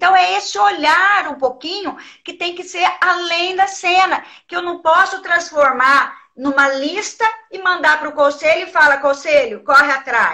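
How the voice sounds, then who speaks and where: Against a quiet background, a woman uses a raised, projected voice with a bright, sharp tone and big swings in loudness. Her intonation is lively and her pace fairly slow. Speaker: educator and trainer of child protection counselors; guest. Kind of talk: casual live-stream interview. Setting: video call. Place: office. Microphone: video call.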